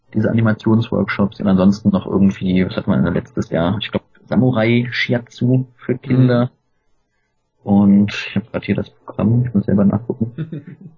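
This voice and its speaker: A man with an ordinary speaking voice talks at a moderate pace, with lively intonation and a fairly low pitch. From Germany, Cologne. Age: 30s. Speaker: film festival team member. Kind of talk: casual interview.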